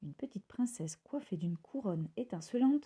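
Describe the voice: This woman's voice has a dark, mellow tone and lively intonation.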